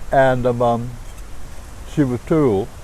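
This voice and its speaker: This man's medium pitch varies in an ordinary way while noticeable background noise plays behind him. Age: 70s. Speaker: former union member and illustrator. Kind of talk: oral history interview answer.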